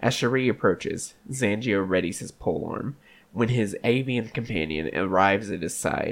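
The voice reads in an unforced reading voice, its pitch showing ordinary pitch variation.

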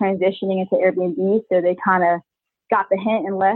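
At a fairly quick pace, a woman speaks with fairly even intonation and medium pitch in an ordinary speaking voice. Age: 20s. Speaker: army veteran and short-term rental entrepreneur. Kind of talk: interview.

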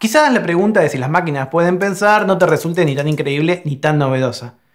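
This man talks very fast in a high voice with lively intonation. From Argentina. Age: 40s. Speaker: philosophy professor. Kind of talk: explanatory monologue.

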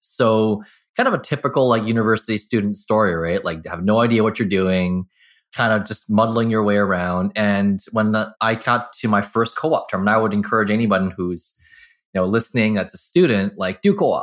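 A man with a Canadian accent and an ordinary speaking voice, fairly low in pitch, fairly quick in pace and fairly even in intonation, in a very clean recording with a silent background. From Vancouver area, Canada (Burnaby). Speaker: market research agency president. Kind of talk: interview.

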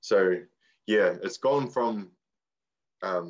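In a New Zealand accent, a man speaks at a very slow pace. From New Zealand, Far North. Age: 20s. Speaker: waka ama athlete and coach. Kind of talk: casual chat.

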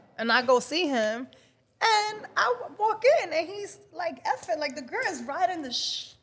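Animated and fairly slow, a woman with a Dominican accent lets her pitch swing very widely. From Dominican Republic. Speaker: model and life coach. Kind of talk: casual chat.

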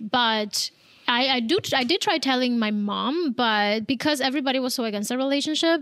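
A woman with a Spanish accent talks at a fairly quick pace, her high pitch showing ordinary variation. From Cuba. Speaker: abuse survivor and mental health coach. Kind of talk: testimony.

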